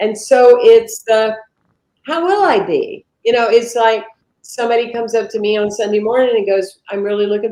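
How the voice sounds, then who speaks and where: Her tone comes across dark and mellow. This woman's pitch sits fairly high. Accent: American. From US South. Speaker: minister. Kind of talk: interview conversation. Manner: animated.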